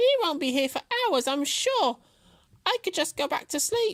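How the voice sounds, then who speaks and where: Put on as a character, this squeaky, high-pitched voice moves at a moderate pace. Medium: read story. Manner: boastful, mocking.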